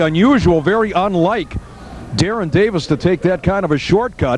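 Against noticeable background noise, a man with a high voice talks at a fairly quick pace with lively intonation. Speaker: pro wrestling commentator. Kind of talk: live wrestling match commentary. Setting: local arena show, late 1990s recording. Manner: excited, showman-like, jokey.

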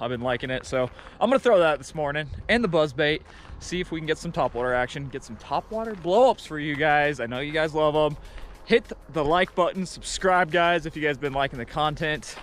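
Faint music plays behind a man who speaks at a fairly quick pace with ordinary pitch variation, the sound dry with no echo. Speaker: fishing vlogger. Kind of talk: casual vlog chat. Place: open country. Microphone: phone near.

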